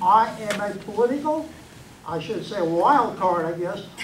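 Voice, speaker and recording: A man talks amid noticeable background noise, his words carrying audible room echo. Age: 70s. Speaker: lay minister, audience member. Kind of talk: public comment at political meeting.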